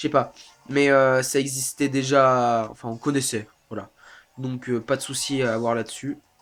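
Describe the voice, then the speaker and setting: A man's medium-pitched voice, fairly slow and monotone, with flat intonation. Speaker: let's play gamer. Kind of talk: gameplay commentary. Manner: hesitant.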